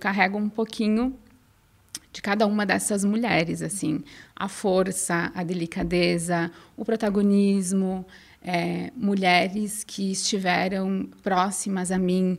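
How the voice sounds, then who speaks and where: A woman speaks in a southern Brazilian accent at a fairly slow pace. Her pitch sits in the medium range, with fairly even intonation. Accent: gaúcho accent, noticeable. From southern Brazil, inland Rio Grande do Sul. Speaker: innovation researcher and former professor. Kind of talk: podcast interview.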